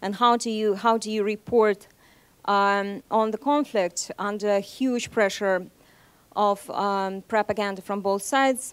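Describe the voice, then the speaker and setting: Speaking with a Moscow accent, a woman uses a medium pitch and fairly even intonation at a fairly slow pace, in a very clean recording with a silent background. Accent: Russian, Moscow. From Russia (Nizhny Novgorod, Saint Petersburg). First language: Russian. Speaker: journalist. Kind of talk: seminar talk. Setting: seminar with audience. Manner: hesitant, many fillers.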